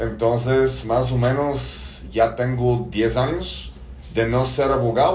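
Over noticeable background noise and audible room echo, a man speaks with a Bulgarian accent. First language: Bulgarian (speaking Spanish). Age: 40s. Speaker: business consultant, former lawyer. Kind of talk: podcast interview. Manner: hesitant, many fillers.

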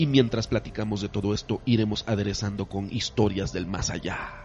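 A somewhat breathy man's voice, fairly low in pitch, at a fairly quick pace. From Mexico, Campeche. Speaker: podcast host, former hotel industry worker. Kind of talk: casual chat.

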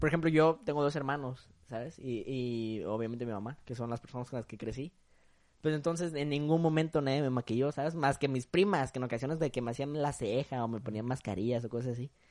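Here a man speaks at medium pitch with ordinary pitch variation. His pace is fairly quick against a quiet background. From Acapulco, Guerrero, Mexico. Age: young. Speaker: university student. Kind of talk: casual chat.

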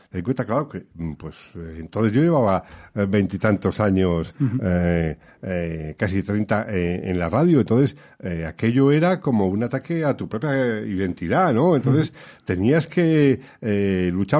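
The pitch swings very widely. The speed stays moderate. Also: man, medium pitch for a man. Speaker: radio veteran. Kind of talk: interview. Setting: studio.

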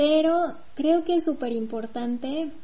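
Amid audible room echo, a woman with a Mexican accent speaks fairly slowly, with ordinary pitch variation. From Mexico. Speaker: podcast co-host. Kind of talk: casual chat.

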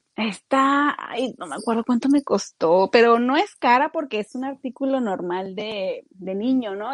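In an unremarkable speaking voice, a woman with a fairly high pitch talks at a fairly slow pace with lively intonation and hardly any pauses, in a dry, close sound with no echo against a quiet background. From Mexico, Torreón. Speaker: youtuber. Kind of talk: casual chat.

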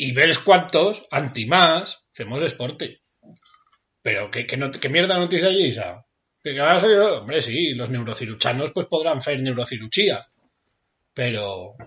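Fairly slow delivery with very wide pitch swings. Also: man, fairly high pitch for a man. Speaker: podcast co-host. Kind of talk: casual chat.

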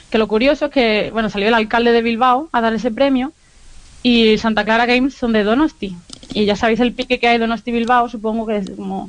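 Speaking at a fairly quick pace, a woman keeps a fairly high pitch and fairly even intonation. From Andalusia, Granada. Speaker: video game podcast correspondent. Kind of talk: casual chat.

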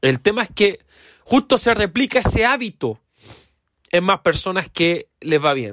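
A man's high, animated voice at a fairly slow pace, with very wide pitch swings and long, frequent pauses, dry and close with no echo. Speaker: podcast host, teacher-focused self-development. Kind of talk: casual monologue.

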